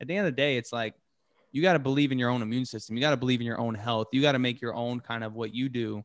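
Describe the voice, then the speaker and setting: A man with an American accent speaks at a medium pitch, his intonation fairly even. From Texas. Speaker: stand-up comedian. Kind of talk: casual chat.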